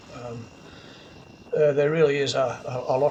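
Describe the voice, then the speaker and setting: Noticeable background noise sits behind the speaker. He is a man with a fairly high pitch. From Australia. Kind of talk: casual travel vlog narration.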